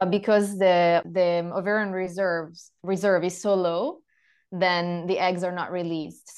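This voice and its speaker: A woman with an Italian accent speaks at a moderate pace in a fairly low pitch against a quiet background. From Italy. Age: 30s. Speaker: yoga teacher and women's health mentor. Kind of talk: interview. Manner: halting.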